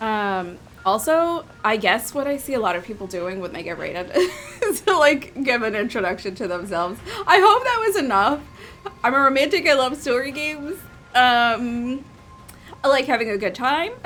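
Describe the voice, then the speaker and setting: With music playing behind, the speaker talks at a moderate pace while the pitch swings very widely. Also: woman, high pitch for a woman. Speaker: game streamer. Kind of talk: casual live-stream chat. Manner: hesitant, many fillers.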